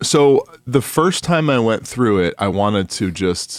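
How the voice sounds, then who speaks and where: At a fairly slow pace, a man with an American accent speaks with lively intonation. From New York. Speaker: podcast co-host. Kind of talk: casual chat. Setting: remote recording.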